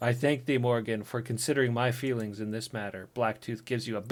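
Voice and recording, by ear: With intonation that stays fairly even, someone reads aloud in a natural voice.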